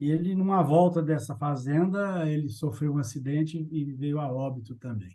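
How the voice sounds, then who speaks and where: A man talks at a moderate pace with hardly any pauses. His fairly high, somewhat breathy voice has a dark, mellow tone and ordinary pitch variation. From Brazil, Minas Gerais (Triângulo Mineiro). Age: 60s. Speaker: agribusiness executive. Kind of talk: interview.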